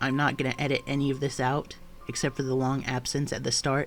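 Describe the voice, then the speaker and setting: Music plays in the background. A man with fairly high pitch speaks at a fairly quick pace. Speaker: creepypasta narrator. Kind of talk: casual talk to camera.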